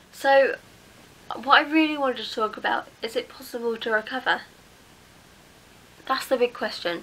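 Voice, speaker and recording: Against noticeable background noise, a woman with an English accent speaks at a fairly quick pace with ordinary pitch variation. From England. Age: 20s. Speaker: mental health vlogger. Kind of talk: casual talk to camera.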